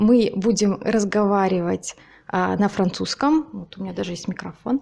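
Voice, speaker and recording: Speaking at a fairly slow pace, a woman with a medium pitch and a dark, mellow tone shows ordinary pitch variation and big swings in loudness. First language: Russian (speaking French). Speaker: YouTuber, interviewer. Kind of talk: interview. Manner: hesitant, many fillers.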